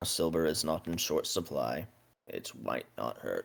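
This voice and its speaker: A man puts on a raspy character voice and talks at a fairly slow pace. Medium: actual play.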